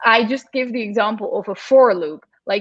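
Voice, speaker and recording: A woman with a Dutch accent speaks with lively intonation. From Netherlands. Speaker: computer science educator. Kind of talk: interview Q&A.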